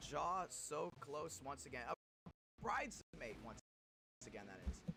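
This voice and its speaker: Music plays in the background as a man talks. His tone is energetic and his pace fairly slow. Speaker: sim racing league streamer and commentator. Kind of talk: live race commentary on a stream. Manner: energetic, hype.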